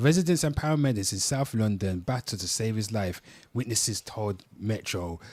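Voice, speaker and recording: A man in a Birmingham accent, fairly low in pitch, with lively intonation at a moderate pace, on a very clean recording with a silent background. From Birmingham, England. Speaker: livestream host. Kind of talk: reading news aloud.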